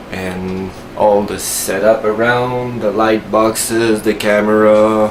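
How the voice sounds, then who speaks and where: At a very slow pace, a man speaks at a fairly low pitch with ordinary pitch variation, with noticeable background noise and audible room echo. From Quebec, Canada. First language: French. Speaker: tech tutorial youtuber. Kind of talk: tutorial. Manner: hesitant, many fillers.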